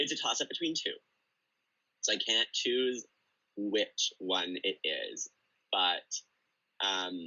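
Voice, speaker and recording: A man speaks at a very slow pace with long, frequent pauses. His loudness stays very even. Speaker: drag performer, reality show contestant. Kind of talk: casual interview.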